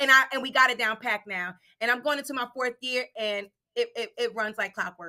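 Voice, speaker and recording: A loud, high-pitched woman's voice with a bright, sharp tone, ordinary pitch variation and a fairly quick pace. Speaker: assistant principal. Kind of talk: casual chat. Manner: fast.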